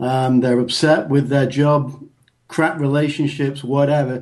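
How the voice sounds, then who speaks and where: With a strong northern English accent, a man speaks at a moderate pace in a dark, mellow tone with a fairly high pitch. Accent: northern English, still strong. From northern England, Bolton near Manchester. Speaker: engineer and men's health coach. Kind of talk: podcast interview.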